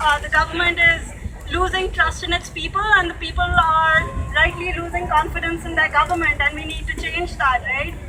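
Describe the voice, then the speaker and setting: A woman projects her voice loudly at an extremely high pitch with ordinary pitch variation while crowd noise fills the background. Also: moderate pace. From India. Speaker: protest speaker. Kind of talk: protest speech.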